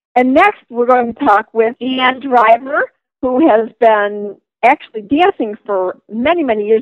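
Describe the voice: A woman talks at a fairly high pitch with ordinary pitch variation. The sound is dry and close, with no echo.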